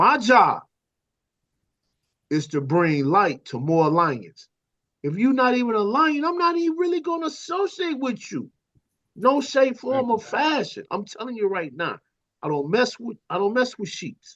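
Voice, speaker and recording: The speaker's tone is animated, at a fairly slow pace. Long pauses come often. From US Midwest (South Chicago / East Saint Louis). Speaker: panel guest on talk show. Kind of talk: casual discussion.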